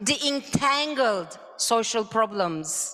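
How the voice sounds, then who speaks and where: In a raised, projected voice, a woman speaks at a very slow pace. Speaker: conference moderator. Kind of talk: conference speech.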